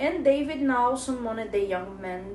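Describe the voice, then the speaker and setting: Over noticeable background noise, a woman with a fairly high pitch speaks at a fairly slow pace with very wide pitch swings. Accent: non-native. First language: not English. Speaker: Bible study teacher. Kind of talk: Bible study lesson. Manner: halting.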